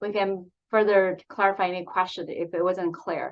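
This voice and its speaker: At a medium pitch and a moderate pace, this woman has an unremarkable speaking voice. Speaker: breast medical oncologist. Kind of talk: medical presentation.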